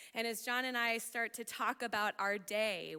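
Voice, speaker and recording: The voice is loud, with a bright, sharp tone. The recording is very clean, with a silent background. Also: woman. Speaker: pastor. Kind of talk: sermon.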